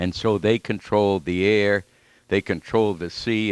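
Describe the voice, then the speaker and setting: A man with a New England accent against a quiet background. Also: dry, close sound with no echo. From New York City (Flushing, Queens). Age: 90s. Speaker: war veteran. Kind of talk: lecture. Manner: halting.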